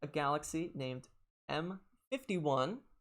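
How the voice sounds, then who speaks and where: This man has a plain, everyday voice. His pitch sits fairly high, with ordinary pitch variation. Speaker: planetarium show host. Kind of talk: live planetarium stream presentation.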